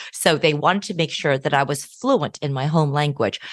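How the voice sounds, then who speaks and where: Set against a quiet background, a woman with a General American accent speaks in a very deep, low voice. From US Midwest. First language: Hokkien Chinese. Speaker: law professor. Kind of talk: interview.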